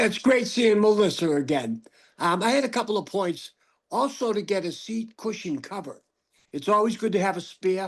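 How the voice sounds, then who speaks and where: Against a quiet background, a man with a Boston accent speaks at a high pitch. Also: ordinary pitch variation, moderate pace. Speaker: audience member with spinal cord injury. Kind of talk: casual remarks in Q&A.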